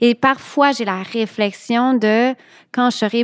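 In a very clean recording with a silent background and a dry, close sound with no echo, a woman speaks with a Quebec accent and ordinary pitch variation. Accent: Québécois French. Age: 40s. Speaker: childfree woman sharing her story. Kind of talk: podcast interview.

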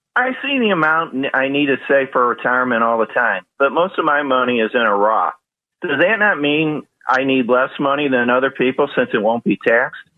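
At a moderate pace, a man with an unremarkable speaking voice talks in a fairly high pitch, with ordinary pitch variation and very even loudness. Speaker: caller. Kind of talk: radio call-in question. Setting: phone call.

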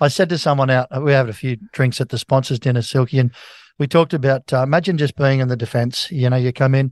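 A man with an Australian accent talks at a very fast pace with fairly even intonation. The sound is dry and close with no echo, over a quiet background. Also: medium pitch for a man. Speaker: sports radio host. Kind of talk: casual sports chat.

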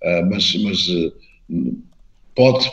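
A man speaks with vocal fry. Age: 50s. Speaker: mayor and party politician. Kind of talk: interview.

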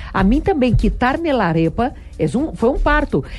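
A woman speaks with very wide pitch swings. Music plays in the background. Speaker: TV show host. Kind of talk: casual chat. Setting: studio.

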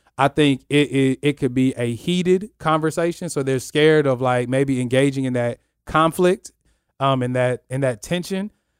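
A man with an American accent at a fairly high pitch and moderate pace, with ordinary pitch variation, in a very clean recording with a silent background. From US Midwest, Kansas (military family). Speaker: church youth ministry director. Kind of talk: casual chat.

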